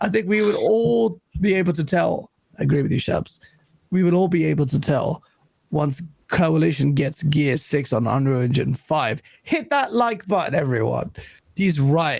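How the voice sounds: The voice has vocal fry, a slightly mellow tone, ordinary pitch variation and a moderate pace. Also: man, fairly high pitch for a man.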